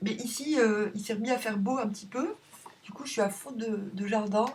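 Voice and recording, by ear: A woman's hoarse put-on character voice, fairly high in pitch, at a moderate pace with fairly even intonation.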